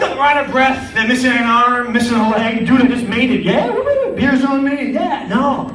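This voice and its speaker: A man speaks at an extremely high pitch with hardly any pauses. Audible room echo and noticeable background noise surround his voice. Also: moderate pace. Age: 40s. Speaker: stand-up comedian. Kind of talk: stand-up. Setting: stage with audience. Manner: animated.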